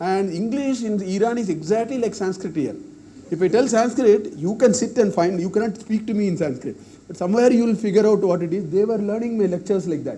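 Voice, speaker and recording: In a Tamil accent, a man with a high pitch and a dark, mellow tone speaks at a very fast pace amid audible room echo. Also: ordinary pitch variation. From South India, Tamil-speaking. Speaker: professor. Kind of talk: Q&A after lecture. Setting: university auditorium.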